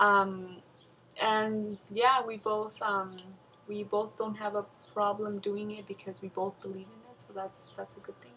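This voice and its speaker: A woman with a Spanish accent, medium pitch and monotone, flat intonation, at a fairly slow pace with big swings in loudness. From Mexico, moved to US at eight. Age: 20s. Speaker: bride-to-be. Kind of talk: casual interview.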